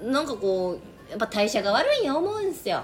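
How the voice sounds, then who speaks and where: Woman's voice at a moderate pace, with noticeable background noise. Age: 30s. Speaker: podcast host. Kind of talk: scripted intro; casual chat. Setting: bar in Osaka.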